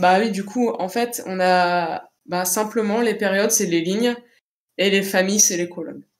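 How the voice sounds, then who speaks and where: A woman talks fairly slowly with a medium pitch and fairly even intonation. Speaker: science history lecturer. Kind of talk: live Q&A answers.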